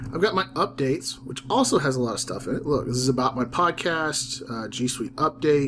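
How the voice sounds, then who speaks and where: A man with a Southern accent talks at a fairly quick pace with ordinary pitch variation. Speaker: teacher and ed-tech YouTuber. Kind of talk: tutorial. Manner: casual, with fillers.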